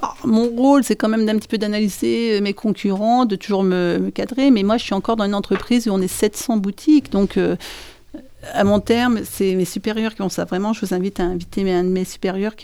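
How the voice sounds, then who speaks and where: A woman speaks in a dark, mellow tone with ordinary pitch variation. Her pace is fairly quick. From northern France. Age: 50s. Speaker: bakery manager. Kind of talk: interview.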